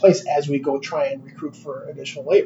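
With noticeable background noise behind him, a man speaks at a fairly quick pace and a fairly high pitch. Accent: American. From Chicago. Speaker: company executive. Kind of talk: casual interview.

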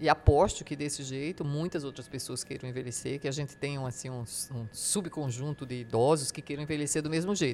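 The pitch sits very deep and low. It belongs to a woman. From Brazil, Paraíba sertão. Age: 60s. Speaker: writer and retired professor, caregiver. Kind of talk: interview. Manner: halting, many repetitions.

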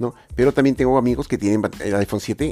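Dark, mellow tone with ordinary pitch variation. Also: man. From Peru, Lima. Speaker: tech podcast host. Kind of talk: solo tech podcast monologue. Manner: hesitant, many filler sounds.

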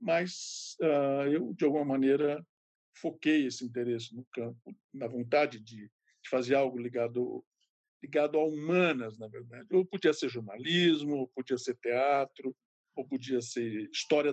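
A man with an ordinary speaking voice talks at a fairly slow pace and a medium pitch, with ordinary pitch variation. His loudness swings widely, and the sound is dry and close with no echo. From São Paulo interior, Ribeirão Preto. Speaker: retired art history professor and curator. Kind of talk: interview.

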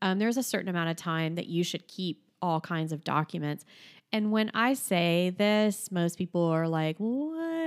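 An American-accented woman speaks with an animated tone, fairly low pitch and ordinary pitch variation at a moderate pace. The recording is very clean, with a silent background. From Florida. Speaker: podcast co-host. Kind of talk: casual chat. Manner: animated, laughs often.

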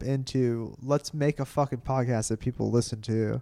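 With an ordinary speaking voice, a man talks at a moderate pace, his medium pitch showing ordinary pitch variation. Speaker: comedian. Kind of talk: casual chat. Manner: mumbles.

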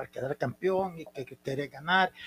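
With a dry, close sound and no echo, a man speaks at a moderate pace in a high pitch with ordinary pitch variation. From El Salvador, San Miguel. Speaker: former football club president. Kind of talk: casual interview.

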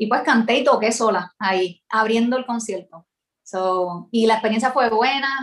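A woman with a Puerto Rican accent speaks at a fairly slow pace with ordinary pitch variation. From Puerto Rico, San Juan. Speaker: singer-songwriter and music teacher. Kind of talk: interview. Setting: video call. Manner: halting.

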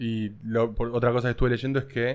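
At a moderate pace, a man speaks at a medium pitch in a very clean recording with a silent background. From Argentina, rural. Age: 30s. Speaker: podcast host. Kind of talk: casual chat. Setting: in a vape shop.

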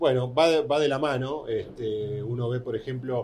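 Using a plain, everyday voice, a man talks at a moderate pace and medium pitch. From Argentina. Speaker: motorsport journalist. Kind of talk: interview.

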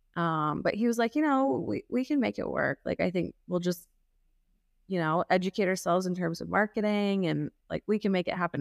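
A woman with a fairly low voice and an American accent speaks at a fairly quick pace with ordinary pitch variation, an unremarkable speaking voice captured dry and close with no echo on a very clean recording with a silent background. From US Midwest, Kansas City. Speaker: facial plastic surgeon. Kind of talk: casual interview.

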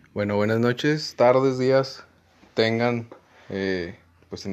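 At a fairly slow pace, a man speaks with a northern Mexican accent and fairly even intonation. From Mexico, Comarca Lagunera (Durango/Coahuila). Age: 20s. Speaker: law student, podcast co-host. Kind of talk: casual chat. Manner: halting.

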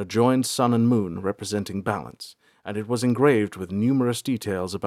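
This is reading aloud in a natural voice.

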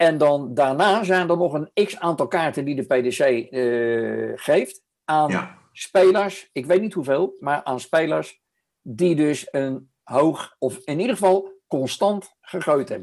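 A man speaks very slowly with a fairly high pitch and lively intonation. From The Hague, Netherlands. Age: 70s. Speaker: podcast co-host. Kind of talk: casual chat.

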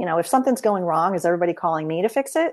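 With a quiet background, a woman with an unremarkable speaking voice and fairly low pitch talks with lively intonation. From upstate New York, Albany suburbs. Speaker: business consultant. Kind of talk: interview.

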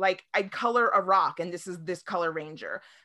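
Bright, sharp tone at a fairly quick pace in a very clean recording with a silent background. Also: woman. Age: 30s. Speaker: toy collector and video creator. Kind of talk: casual chat.

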